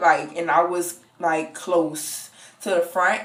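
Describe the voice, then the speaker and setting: The speaker is a woman. Her voice sits at a fairly low pitch. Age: young. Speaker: college student. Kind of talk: casual story time to camera.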